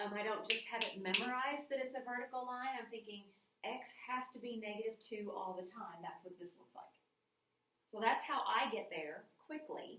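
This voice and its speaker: A woman at a moderate pace, with ordinary pitch variation, big swings in loudness and audible room echo. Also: fairly high pitch for a woman. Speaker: math teacher. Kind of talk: recorded lecture. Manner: casual.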